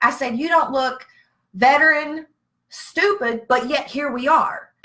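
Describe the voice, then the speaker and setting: With a Southern US accent, a woman speaks at a moderate pace in a high, raised and projected voice, her tone bright, sharp and animated and her intonation lively. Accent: Southern, noticeable. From Virginia. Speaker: veteran with PTSD. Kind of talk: casual live-stream chat. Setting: Facebook live stream.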